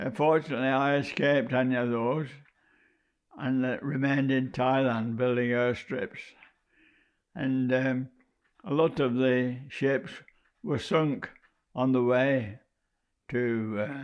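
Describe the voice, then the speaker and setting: Speaking at a very slow pace with a British accent, a man keeps his intonation fairly even and leaves long, frequent pauses. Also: medium pitch for a man. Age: 90s. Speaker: war veteran, former prisoner of war. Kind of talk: oral history testimony. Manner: halting, many hesitations.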